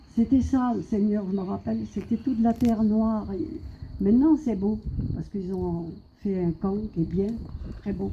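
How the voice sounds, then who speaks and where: A woman's somewhat breathy, medium-pitched voice with a dark, mellow tone. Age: 70s. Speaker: evangelical preacher. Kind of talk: sermon testimony.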